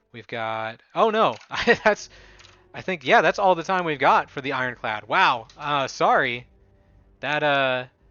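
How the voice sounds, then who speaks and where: A man's fairly high voice at a moderate pace, lively in intonation, with music in the background. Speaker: gaming video creator. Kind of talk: gameplay commentary.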